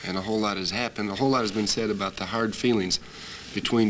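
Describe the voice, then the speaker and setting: A man speaks in a fairly low pitch with monotone, flat intonation over noticeable background noise. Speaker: professional wrestler. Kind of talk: wrestling promo interview answer.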